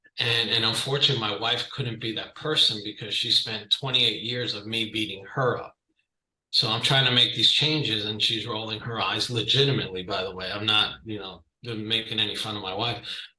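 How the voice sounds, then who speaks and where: A man with a New York accent, a bright, sharp tone and fairly even intonation. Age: 50s. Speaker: client giving a fitness testimonial. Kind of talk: testimony. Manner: loud.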